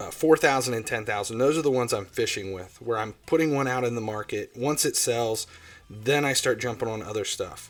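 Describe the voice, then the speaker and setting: With a strong Ohio accent, a man speaks at a medium pitch and a fairly quick pace, his pitch varying in an ordinary way. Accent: self-described strong Ohio. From Ohio, US Midwest. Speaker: gaming livestreamer. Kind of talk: livestream commentary. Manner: casual, loose with fillers.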